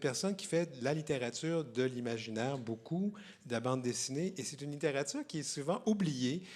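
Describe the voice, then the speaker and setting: A man's fairly high voice with lively intonation at a fairly quick pace. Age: 60s. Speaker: literary festival host. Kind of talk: public interview at book fair. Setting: stage with audience. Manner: halting, many repetitions.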